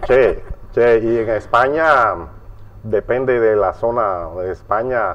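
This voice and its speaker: Over noticeable background noise, a man talks at a very slow pace with a medium pitch and ordinary pitch variation. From Cuba. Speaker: interviewer. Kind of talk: interview.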